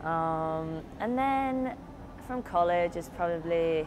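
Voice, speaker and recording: Against noticeable background noise, a woman with a very deep, low pitch speaks in a lively intonation. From Britain. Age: 20s. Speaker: college swimmer. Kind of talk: interview. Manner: hesitant, many fillers. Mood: relaxed, reflective. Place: hall. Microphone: lapel.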